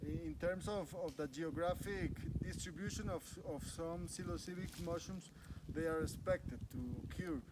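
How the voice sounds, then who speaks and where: A man with a Spanish accent speaks at a moderate pace in a high pitch with fairly even intonation. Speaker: biologist and mushroom guide. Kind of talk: field guided walk explanation. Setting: outdoors in forest. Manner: halting with many fillers and repeats.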